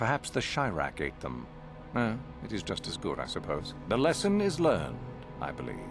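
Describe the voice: Against clear music in the background, a man performs a put-on character voice at a moderate pace. His pitch is low, with very wide pitch swings.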